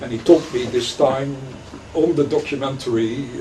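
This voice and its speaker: A man speaks at a medium pitch. Noticeable background noise and audible room echo surround his voice. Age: 60s. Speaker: rabbi and lecturer. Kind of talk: lecture. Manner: halting, many fillers.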